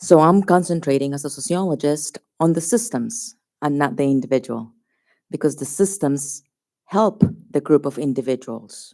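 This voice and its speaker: A woman speaks with a very deep, low pitch. Her tone is dark and mellow, and her intonation is lively. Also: moderate pace. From Colombia. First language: Spanish. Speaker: sociologist testifying at public hearing. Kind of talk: public hearing testimony. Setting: public hearing venue with audience.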